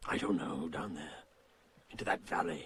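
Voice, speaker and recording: A man puts on a character voice with a very deep, low pitch. His delivery is raspy. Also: moderate pace. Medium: short film. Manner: gruff, blunt.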